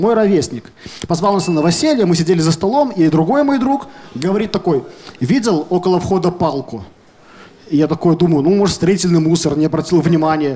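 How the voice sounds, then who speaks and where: Noticeable background noise sits behind a man with a high pitch. His intonation is lively, broken by long, frequent pauses. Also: moderate pace. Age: 20s. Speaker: stand-up comedian. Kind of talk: stand-up. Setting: stage with audience.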